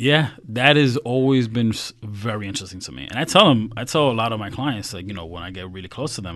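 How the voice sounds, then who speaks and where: A man with an American accent and an unremarkable speaking voice talks at a fairly quick pace in a medium pitch with lively intonation. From US, New York (Queens). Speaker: financial strategist. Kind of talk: casual interview.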